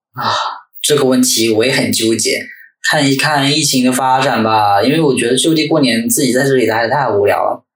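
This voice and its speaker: A man speaks at a fairly quick pace with fairly even intonation and a medium pitch. His loudness stays very even, and some room echo is audible. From Northeast China. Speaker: guest, former university student in the city. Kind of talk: casual chat.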